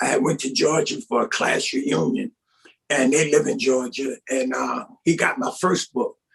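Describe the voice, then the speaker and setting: A man's voice with very wide pitch swings. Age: 60s. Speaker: pastor and author. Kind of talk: interview. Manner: informal, conversational.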